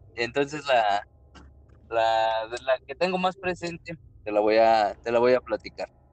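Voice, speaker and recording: A man speaks in a plain, everyday voice at a fairly slow pace with lively intonation. The sound is dry and close with no echo. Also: medium pitch for a man. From Mexico, Querétaro. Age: 20s. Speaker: truck driver and miner. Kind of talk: storytelling in casual chat.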